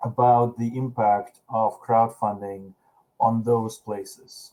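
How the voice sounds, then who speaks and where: A man talks in a Russian accent at a very slow pace. His pitch sits in the medium range. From Russia, Saint Petersburg. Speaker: panel moderator. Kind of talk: conference panel discussion.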